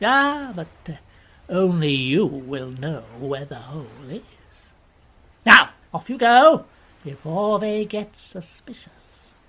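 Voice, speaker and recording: In a put-on character voice, a woman speaks at a fairly low pitch and a fairly slow pace, with very wide pitch swings, big swings in loudness and long, frequent pauses. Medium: audio drama. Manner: cold, scheming.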